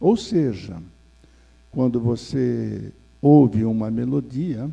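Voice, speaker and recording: This man speaks with a dark, mellow tone. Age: 70s. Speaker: spiritist lecturer. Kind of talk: lecture. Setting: spiritist center, seated before audience. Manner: formal.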